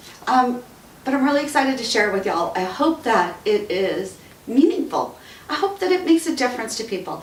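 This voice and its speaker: Over noticeable background noise, a woman with an American accent speaks at a fairly quick pace. Her high pitch moves in very wide swings. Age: 50s. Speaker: radio talk show host and author. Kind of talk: casual talk to camera. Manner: emotional, tearful.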